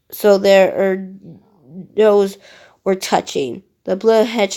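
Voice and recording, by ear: Someone reads aloud in a natural voice with fairly even intonation over a quiet background.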